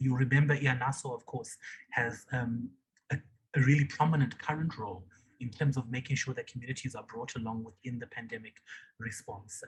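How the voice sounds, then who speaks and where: A man talks at a fairly quick pace in a medium-pitched, somewhat breathy voice. His intonation stays fairly even. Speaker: civil society organization leader. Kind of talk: online meeting remarks.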